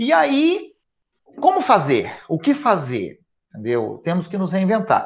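Over a quiet background, a man speaks at a very slow pace, leaving long, frequent pauses. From Espírito Santo, Brazil. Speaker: education event organiser and speaker; speaker. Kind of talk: live webinar conversation. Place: home room. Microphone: earbuds.

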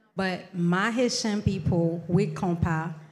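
A woman speaks at a very slow pace. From Haiti. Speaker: singer; interviewee. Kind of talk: interview. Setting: live event venue with audience. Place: hall. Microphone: handheld.

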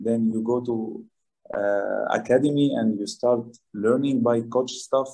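A man speaks at a fairly slow pace with long, frequent pauses. His intonation is flat and monotone. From Lebanon. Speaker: professional footballer. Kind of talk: interview. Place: home room. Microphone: video call.

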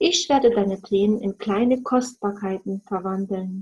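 Speaking at a very slow pace, the woman has a medium pitch, a somewhat breathy quality, a dark, mellow tone and a warm, gentle tone. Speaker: storyteller reading fairy tales aloud. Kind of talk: bedtime story reading, fairy tale read aloud. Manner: gentle, slow, soothing storytelling pace; warm, expressive, dreamy with soft pauses.

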